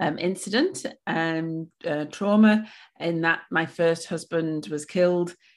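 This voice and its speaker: Speaking with a Welsh accent at a very slow pace, a woman with fairly low pitch and ordinary pitch variation is heard against a quiet background. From Wales. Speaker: pilates and yoga studio owner. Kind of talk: interview. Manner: hesitant, many fillers.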